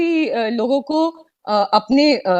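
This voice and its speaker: Lively intonation in a non-native accent. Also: woman. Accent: non-native Hindi. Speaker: bank executive. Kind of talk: formal address at online launch event. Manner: hesitant, many fillers.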